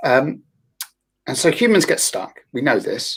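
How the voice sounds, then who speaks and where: A man with a London accent. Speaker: therapist and yoga teacher. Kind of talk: panel discussion.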